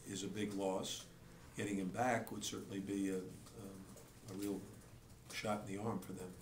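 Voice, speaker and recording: A man in a monotone, flat intonation, with audible room echo and light background noise. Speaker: basketball coach. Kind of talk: press conference answers. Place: hall.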